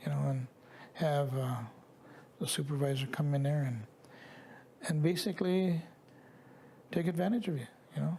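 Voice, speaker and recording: This man's voice sits fairly high, with ordinary pitch variation. He keeps a moderate pace but takes long, frequent pauses. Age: 60s. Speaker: residential school survivor. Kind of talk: testimony. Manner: halting.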